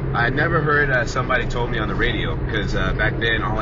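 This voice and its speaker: Loud background noise fills the recording. The speaker has an American accent. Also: man, dry sound with no echo. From Southern California. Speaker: music fan and contest winner. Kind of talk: casual video diary. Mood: enthusiastic fan. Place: car. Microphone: phone near.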